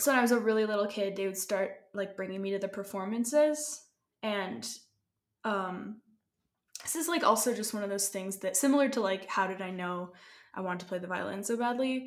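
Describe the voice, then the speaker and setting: A woman with a Canadian accent and a normal speaking voice talks at a fairly quick pace, her medium pitch showing ordinary pitch variation. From Canada. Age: 20s. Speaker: violinist and music student. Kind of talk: casual interview conversation.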